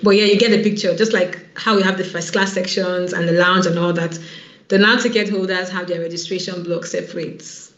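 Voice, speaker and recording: Over noticeable background noise and audible room echo, a woman speaks at a very fast pace. Her medium-pitched voice has an animated tone. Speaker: online event organizer. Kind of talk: online info session presentation.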